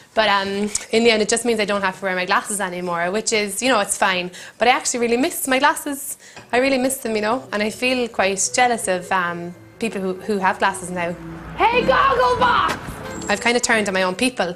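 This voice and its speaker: With an Irish accent, a woman talks at a fairly quick pace in a fairly high pitch. Her pitch varies in an ordinary way, and there is noticeable background noise. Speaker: comedian. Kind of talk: comic monologue to camera. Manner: hesitant, rambling.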